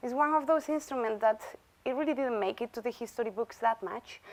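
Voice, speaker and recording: Talking at a fairly quick pace in a strong Galician accent, a woman uses ordinary pitch variation, with a dry, close sound and no echo. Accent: thick Galician Spanish. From Galicia, Spain. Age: 30s. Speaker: bagpipe musician and visiting chair. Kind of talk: lecture. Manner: conversational, interactive.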